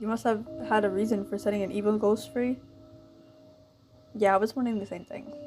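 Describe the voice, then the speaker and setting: Over music in the background, a woman at medium pitch talks at a fairly quick pace with fairly even intonation and long, frequent pauses. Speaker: gaming YouTuber. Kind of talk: reading game dialogue aloud.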